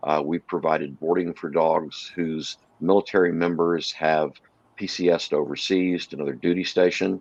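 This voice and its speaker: A man with an American accent and a very deep, low pitch speaks at a moderate pace with fairly even intonation, in a dry, close sound with no echo against a quiet background. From Texas (Texarkana). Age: 60s. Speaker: animal rescue co-founder and salesman. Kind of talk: interview chat.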